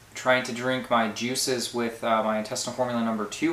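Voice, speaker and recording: Over audible room echo, a man speaks at a fairly quick pace with a monotone, flat intonation. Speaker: health vlogger documenting a cleanse program. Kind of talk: casual video diary. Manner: hesitant, many filler words.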